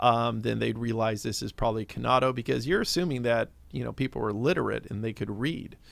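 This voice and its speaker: This man's pitch is medium. He talks fairly quickly. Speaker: spirits producer. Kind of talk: interview. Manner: many fillers.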